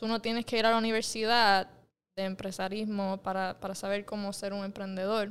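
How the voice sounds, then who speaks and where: Recorded very cleanly with a silent background, a woman with a Puerto Rican accent speaks quickly and in a monotone, flat way. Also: medium pitch for a woman. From Puerto Rico, Mayagüez. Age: 20s. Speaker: entrepreneur. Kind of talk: casual interview. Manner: halting, many fillers and repetitions.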